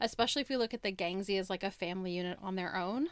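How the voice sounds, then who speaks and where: This woman talks at a very fast pace with an American accent. Her medium-pitched voice has lively intonation. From US, rural southern Oregon. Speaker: podcast co-host. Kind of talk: casual chat about books. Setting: remote recording.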